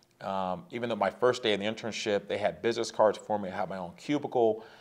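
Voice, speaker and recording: At a fairly quick pace, a man talks with an American accent. He has an ordinary speaking voice at medium pitch. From Southern California, San Diego. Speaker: sales author. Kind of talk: interview.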